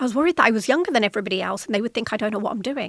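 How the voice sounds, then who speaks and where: A woman speaks with a fairly high pitch and lively intonation. The sound is dry and close, with no echo. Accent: British. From Britain. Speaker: podcast host, corporate executive. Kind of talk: solo podcast talk.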